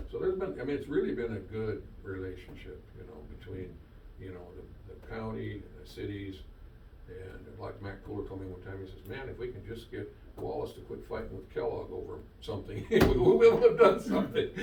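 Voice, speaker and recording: A man at a fairly quick pace, with big swings in loudness, audible room echo and noticeable background noise. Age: 70s. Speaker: government environmental engineer. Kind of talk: public meeting briefing. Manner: halting, repetitive.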